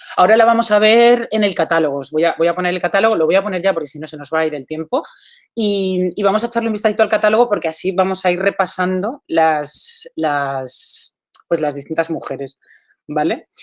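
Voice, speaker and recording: A woman speaks at a fairly quick pace in an ordinary speaking voice, with medium pitch and lively intonation. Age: 40s. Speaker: artist. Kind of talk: talk. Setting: video call.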